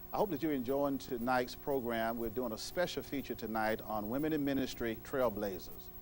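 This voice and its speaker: A man at medium pitch, fairly quick and with hardly any pauses, ordinary pitch variation, music in the background. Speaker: TV talk show host. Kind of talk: TV show introduction.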